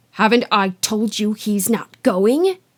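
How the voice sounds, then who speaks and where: A put-on character voice, stern in tone and hissing. It speaks at a fairly slow pace with ordinary pitch variation. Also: woman, fairly high pitch for a woman. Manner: hissed, sharp and stern.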